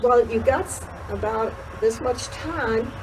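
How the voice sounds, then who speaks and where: Fairly slow speech from a woman comes through noticeable background noise. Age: 90s. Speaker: horse show volunteer. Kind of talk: casual interview. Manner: halting.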